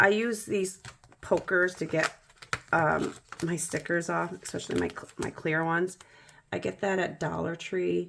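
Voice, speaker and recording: Raspy and middle-pitched, a put-on character voice moves at a moderate pace with long, frequent pauses. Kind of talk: casual, conversational.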